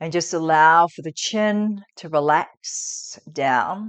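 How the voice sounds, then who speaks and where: Against a quiet background, a woman speaks in a calm, soothing tone with lively intonation. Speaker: yoga instructor. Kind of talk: guided body-scan meditation. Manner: calm, soothing, slow.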